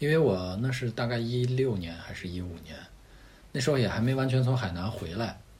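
At a medium pitch, a man speaks with a somewhat breathy voice and lively intonation at a fairly quick pace, with audible room echo. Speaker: rock climber and product manager. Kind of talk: casual interview chat.

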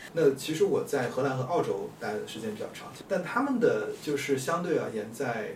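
Against noticeable background noise, a man speaks with audible room echo. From Hunan, China. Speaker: urban planner and landscape designer. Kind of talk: casual chat.

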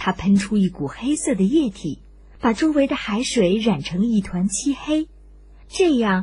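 At a fairly slow pace, the speaker's dark, mellow voice moves with lively intonation. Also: woman.

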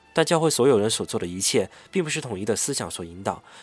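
The intonation is lively. The pace is very fast. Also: man. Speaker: podcast host. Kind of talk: scripted narration; casual chat.

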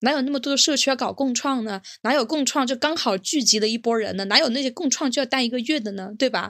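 Over a very clean recording with a silent background, a woman speaks at a very fast pace in a high pitch with ordinary pitch variation. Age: young. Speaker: podcast co-host. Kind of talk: casual chat.

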